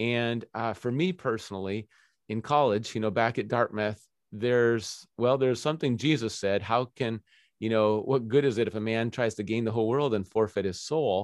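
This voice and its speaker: Against a quiet background, a man with a plain, everyday voice at medium pitch talks at a moderate pace with fairly even intonation. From Minnesota. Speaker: pastor and former pro goalkeeper. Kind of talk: interview conversation.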